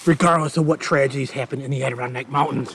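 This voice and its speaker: In a put-on character voice, a man talks raspy and fairly high-pitched. He goes at a very fast pace with fairly even intonation. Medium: voice reel. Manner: folksy, exclamatory.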